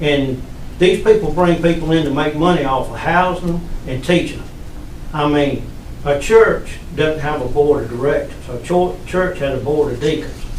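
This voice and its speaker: Against noticeable background noise and audible room echo, a man with a Southern US accent speaks at a moderate pace, fairly high in pitch, with ordinary pitch variation. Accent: Southern US (Georgia). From US South, Georgia (Upson County). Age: 60s. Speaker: resident speaking at public meeting. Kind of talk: public comment. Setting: county commission meeting.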